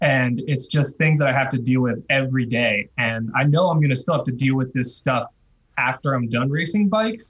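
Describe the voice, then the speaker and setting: A man with an American accent sounds somewhat breathy, keeping very even loudness and ordinary pitch variation. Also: medium pitch for a man, moderate pace. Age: 30s. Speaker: retired pro cyclist. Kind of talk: podcast interview.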